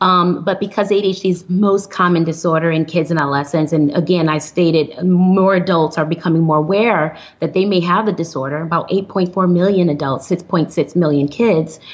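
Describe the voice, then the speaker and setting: A woman with an American accent has a plain, everyday voice at a fairly low pitch and a moderate pace. Her intonation stays fairly even, her loudness very even, and there are hardly any pauses. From US Midwest, Flint, Michigan. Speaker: psychiatrist. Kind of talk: interview.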